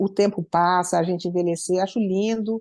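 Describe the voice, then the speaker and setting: At a moderate pace, a woman talks in an ordinary speaking voice with ordinary pitch variation. The sound is dry and close with no echo, over a quiet background. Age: 60s. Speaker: musician. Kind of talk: interview.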